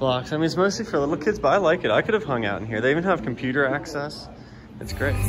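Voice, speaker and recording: With music in the background, a man talks very fast with lively intonation. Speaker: vlogger filming. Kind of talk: casual vlog chat. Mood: playful, upbeat. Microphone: phone near.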